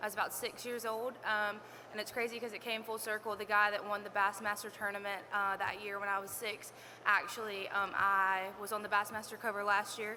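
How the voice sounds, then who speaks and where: Against noticeable background noise, a woman talks at a fairly quick pace with a Southern US accent. Her intonation is monotone and flat. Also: medium pitch for a woman. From South Carolina. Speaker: fishing influencer. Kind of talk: panel self-introduction.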